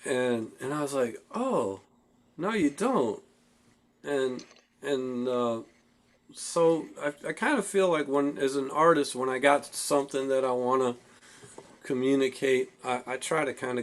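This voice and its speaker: Pausing long and often, a man talks at a fairly slow pace in a medium pitch with ordinary pitch variation. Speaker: singer-songwriter. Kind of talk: casual chat.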